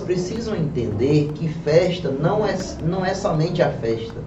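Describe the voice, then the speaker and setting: A man talks at a very slow pace in a high pitch. Audible room echo and noticeable background noise fill the clip. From Pernambuco, Brazil. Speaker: podcast host. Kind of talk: talk show interview.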